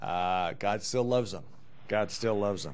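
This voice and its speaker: A man with an unremarkable speaking voice, fairly low pitch and fairly even intonation. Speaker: pastor. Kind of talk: sermon. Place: meeting room. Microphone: handheld.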